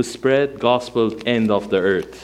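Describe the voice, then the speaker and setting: A man with a Persian accent, medium pitch and ordinary pitch variation, at a very slow pace. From Iran. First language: Armenian. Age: 40s. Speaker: pastor. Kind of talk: sermon. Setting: church. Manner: animated.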